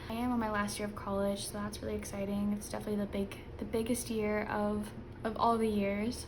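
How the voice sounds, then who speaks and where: A woman is speaking in a room with audible echo. Noticeable background noise runs behind her. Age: 20s. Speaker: budgeting youtuber and college student. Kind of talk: casual vlog talk to camera. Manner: less bubbly than usual, low energy.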